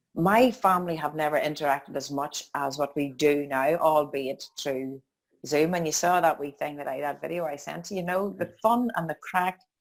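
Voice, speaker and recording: In a Northern Irish accent, a woman with a very deep, low voice talks at a moderate pace with ordinary pitch variation. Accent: Northern Irish (Tyrone). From County Tyrone, Northern Ireland. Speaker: life coach and dance instructor. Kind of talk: interview answer. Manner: upbeat.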